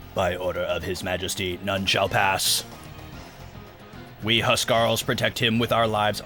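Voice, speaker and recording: Clear music plays behind a man doing a put-on robotic character voice, fairly low in pitch, broken by long, frequent pauses. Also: moderate pace. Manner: stiff, formal.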